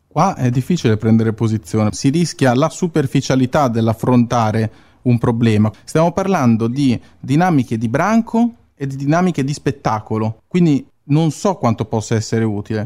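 In a plain, everyday voice, a man talks at a moderate pace with lively intonation, the sound dry and close with no echo. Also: medium pitch for a man. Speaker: radio host reading news. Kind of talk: news-style narration.

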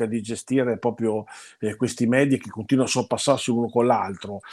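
In a very clean recording with a silent background, a man with an unremarkable speaking voice speaks fairly quickly at a medium pitch. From Italy, Parma. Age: 60s. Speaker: food critic and university teacher. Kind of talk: interview.

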